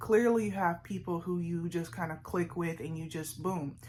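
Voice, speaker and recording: A woman, somewhat breathy, speaks at a moderate pace. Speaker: vlogger. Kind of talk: casual sit-down vlog monologue.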